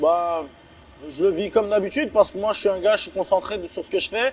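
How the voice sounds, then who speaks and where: A man talks at a moderate pace. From France, Strasbourg (Alsace), born in Chechnya. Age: 20s. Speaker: MMA fighter. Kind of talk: interview. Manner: hesitant, many fillers and repetitions.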